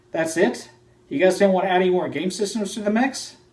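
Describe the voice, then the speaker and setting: Noticeable background noise runs behind the recording. A man with a high voice speaks with an American accent. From United States. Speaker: retro gaming video host. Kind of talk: scripted narration.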